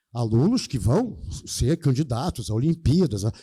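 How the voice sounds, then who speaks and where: Breathy at times, a man with a dark, mellow tone makes very wide pitch swings in a very clean recording with a silent background. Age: 70s. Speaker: math teacher. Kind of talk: lecture. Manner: animated.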